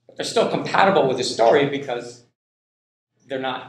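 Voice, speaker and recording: A man speaks with an American accent, and audible room echo surrounds his voice. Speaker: linguistics professor. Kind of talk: lecture. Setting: classroom. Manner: slow, deliberate pace; halting, many repetitions.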